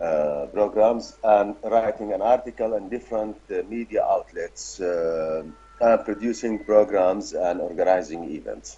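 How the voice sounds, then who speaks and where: Speaking at a fairly slow pace, a man is heard against noticeable background noise. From Syria. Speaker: journalist. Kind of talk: interview.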